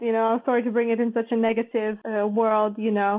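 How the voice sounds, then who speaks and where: A woman speaks in a Latvian accent. Her pitch is high. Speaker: international organization staffer, former journalist. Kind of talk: podcast interview.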